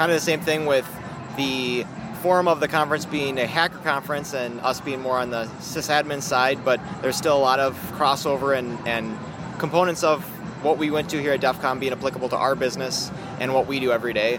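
Music plays behind a man with an American accent who speaks at a fairly quick pace with fairly high pitch and fairly even intonation. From Minnesota. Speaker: systems administrator. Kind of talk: casual interview.

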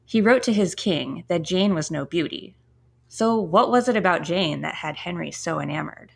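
Lively intonation laced with vocal fry. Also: woman. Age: 30s. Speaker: podcast host. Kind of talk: history podcast monologue. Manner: fast; animated.

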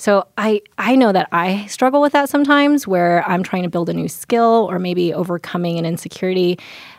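A woman's normal speaking voice at medium pitch, fairly quick and lively in intonation, with hardly any pauses, in a dry, close sound with no echo. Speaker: podcast co-host, training director. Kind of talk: podcast interview.

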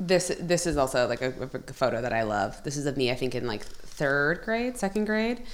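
A woman with an American accent talks at a moderate pace in a very deep, low pitch. Her pitch swings very widely. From western Pennsylvania (Sharon). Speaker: performer in immersive theatre show. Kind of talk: casual chat.

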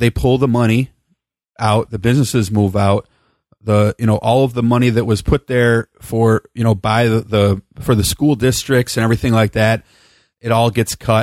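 With an American accent, the speaker talks at a moderate pace in a flat monotone at very even loudness, the sound dry and close with no echo on a very clean recording with a silent background. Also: man, medium pitch for a man. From Chicago area, Illinois. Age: 40s. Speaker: podcast host and producer. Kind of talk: casual chat.

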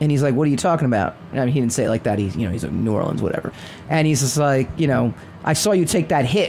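The tone is animated. Noticeable background noise can be heard. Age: 50s. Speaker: comic book podcast host. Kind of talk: casual chat. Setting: studio, streamed live.

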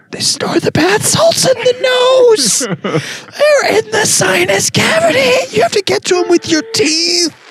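A put-on character voice with an extremely high pitch speaks at a fairly slow pace over faint music in the background. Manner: manic, feral.

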